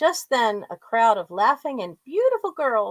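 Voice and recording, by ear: Reading aloud in a natural voice, against a quiet background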